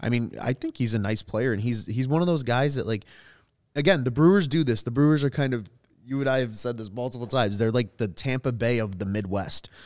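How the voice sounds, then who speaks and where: Recorded very cleanly against a silent background, a man with an American accent speaks at a medium pitch and a fairly quick pace with ordinary pitch variation. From Chicago South Side. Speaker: sports podcaster. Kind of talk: casual sports podcast chat. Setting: studio.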